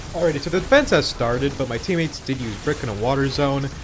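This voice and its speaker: A man's lively intonation carries at a moderate pace through noticeable background noise. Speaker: gaming youtuber. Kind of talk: gameplay commentary. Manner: casual, hesitant with fillers.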